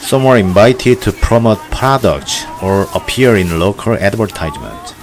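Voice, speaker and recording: Noticeable background noise sits behind a man of medium pitch. He talks at a moderate pace with ordinary pitch variation. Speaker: documentary narrator. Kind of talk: documentary narration.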